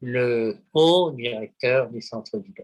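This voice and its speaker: Speaking very slowly, a man keeps a medium pitch with ordinary pitch variation. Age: 70s. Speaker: poet, publisher and psychoanalyst. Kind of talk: interview answer.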